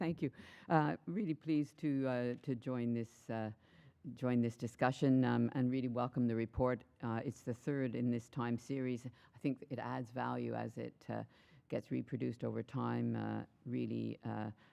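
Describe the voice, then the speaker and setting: Someone with a Canadian accent speaks at a moderate pace. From Canada. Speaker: university leader, panelist. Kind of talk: panel discussion. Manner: halting, many fillers.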